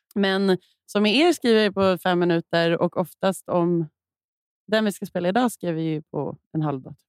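A woman with an ordinary speaking voice talks at a moderate pace and medium pitch with ordinary pitch variation, in a dry, close sound with no echo. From Malmö, southern Sweden. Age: 30s. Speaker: singer-songwriter. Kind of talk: casual chat.

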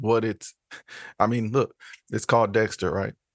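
Against a quiet background, a man with an unremarkable speaking voice talks at a medium pitch with fairly even intonation, in a dry, close sound with no echo. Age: 30s. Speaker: podcast co-host, filmmaker and screenwriter. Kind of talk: casual chat.

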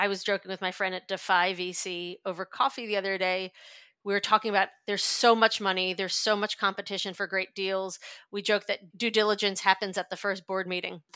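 With a New York accent and monotone, flat intonation, the speaker goes at a fairly quick pace in a bright, sharp tone, on a very clean recording with a silent background and a dry, close sound with no echo. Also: woman, medium pitch for a woman. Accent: New York American. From US, New York. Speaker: venture investor. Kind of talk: interview.

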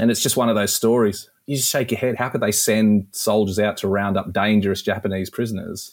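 This man speaks fairly quickly with an Australian accent, his pitch fairly low. His intonation is flat and monotone, and the recording is very clean with a silent background. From Australia, rural New South Wales. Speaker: historian and author. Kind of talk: interview.

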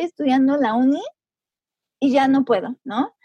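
Over music in the background, a woman speaks in a high voice, with a dry, close sound and no echo. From Mexico, Puebla. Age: 20s. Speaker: time-management coach and online entrepreneur. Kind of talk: interview.

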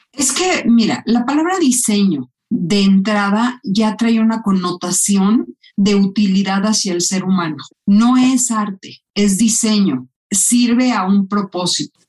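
Her pace is very slow, and her intonation is lively. The woman has a medium pitch and sounds somewhat breathy. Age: 50s. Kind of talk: interview.

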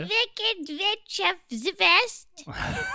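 A female-sounding voice puts on a character with a German accent, pitched extremely high.

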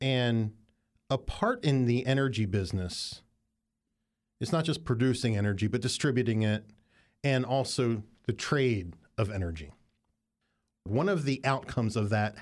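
On a very clean recording with a silent background, a man with an American accent speaks at a fairly slow pace, with medium pitch and ordinary pitch variation. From Appalachian western Maryland. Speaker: podcast host. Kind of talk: casual interview. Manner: energetic.

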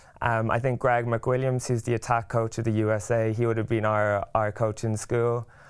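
A man with an Irish accent, monotone and flat, hardly pausing, at very even loudness, on a very clean recording with a silent background. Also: medium pitch for a man, moderate pace. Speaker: rugby player. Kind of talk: casual chat.

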